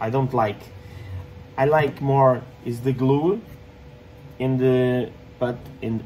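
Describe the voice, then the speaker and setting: The speaker has a non-native accent and a dark, mellow tone, talking at a very slow pace with fairly even intonation, long, frequent pauses and light background noise. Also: man. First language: not English. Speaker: 3D printing maker and content creator. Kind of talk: tutorial. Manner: halting, many fillers and repetitions. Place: workshop. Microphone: phone near.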